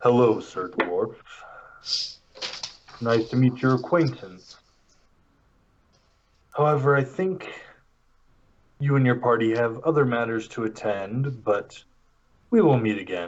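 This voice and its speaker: Using a put-on character voice at a medium pitch, a man speaks fairly slowly with long, frequent pauses. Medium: actual play. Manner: measured, formal.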